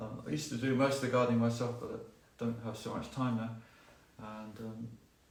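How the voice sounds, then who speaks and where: Amid noticeable background noise and audible room echo, a man with a medium pitch speaks in a monotone, flat intonation. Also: fairly quick pace. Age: 60s. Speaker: gardening expert. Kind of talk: live Q&A talk. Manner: conversational, many fillers.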